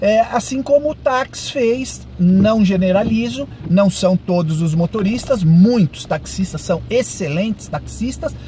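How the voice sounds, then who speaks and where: Over noticeable background noise, a man with a high pitch talks at a fairly slow pace, his pitch swinging very widely. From Brazil, São Paulo. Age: 60s. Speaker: ride-hailing driver and vlogger. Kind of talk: monologue vlog commentary. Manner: halting, many fillers.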